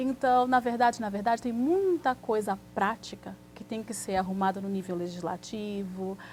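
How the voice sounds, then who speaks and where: With hardly any pauses, a woman of medium pitch talks at a moderate pace in an unremarkable speaking voice, her loudness swinging widely. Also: ordinary pitch variation. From Brazil, Santos (São Paulo coast). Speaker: immigration lawyer. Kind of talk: TV interview.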